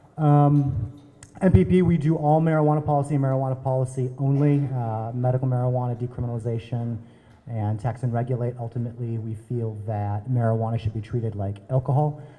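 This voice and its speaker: A man with an American accent talks at a very fast pace in a somewhat breathy, dark, mellow voice of medium pitch, with ordinary pitch variation. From US Midwest, Minnesota. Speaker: drug policy advocate. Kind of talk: panel introduction.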